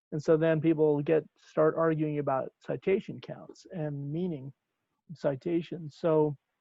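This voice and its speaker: A man with a fairly high pitch talks at a moderate pace in a dry sound with no echo over a quiet background. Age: 60s. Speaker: professor. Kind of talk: workshop discussion. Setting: video call. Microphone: video call.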